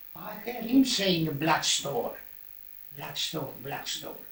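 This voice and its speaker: A man talks fairly slowly while noticeable background noise runs behind him. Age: 80s+. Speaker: former gum digger. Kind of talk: interview answer.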